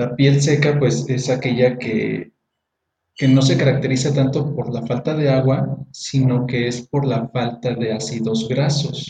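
At a fairly slow pace, a man with a dark, mellow tone speaks at medium pitch in monotone, flat intonation. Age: 20s. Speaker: teacher and beauty products seller. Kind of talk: casual educational chat. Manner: halting, repeats words.

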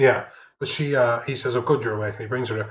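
This voice is somewhat breathy, carrying an Irish accent and ordinary pitch variation. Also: man. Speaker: podcast co-host. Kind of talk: casual film review chat. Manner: joking, playful.

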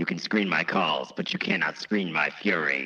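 In a raspy, put-on character voice, a man speaks at a very deep, low pitch. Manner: menacing.

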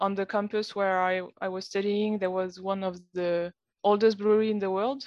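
She speaks with a French accent. Her intonation is monotone and flat. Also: quiet background. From France, Lyon region. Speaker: brewer. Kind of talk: casual chat. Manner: halting.

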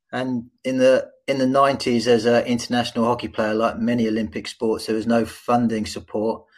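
The recording is very clean, with a silent background. A man with an English accent speaks in a flat monotone at a moderate pace, with hardly any pauses. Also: medium pitch for a man. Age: 50s. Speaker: hockey coach and diversity consultant. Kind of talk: interview.

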